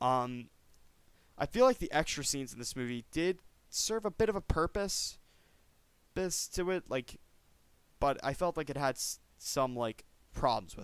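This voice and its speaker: The pitch swings very widely and the loudness shifts a great deal, with long, frequent pauses. The pace is moderate, and the recording is very clean with a silent background. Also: man, fairly high pitch for a man. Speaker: YouTube movie reviewer. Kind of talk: casual vlog review. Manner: halting, stuttering.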